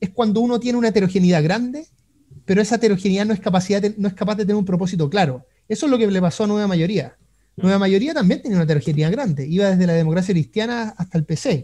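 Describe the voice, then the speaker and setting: A man with a Chilean accent talks very fast at a high pitch with lively intonation. His tone is dark and mellow against a quiet background. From Chile, Concepción. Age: 30s. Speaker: economist; guest. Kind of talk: interview. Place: home room. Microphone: video call.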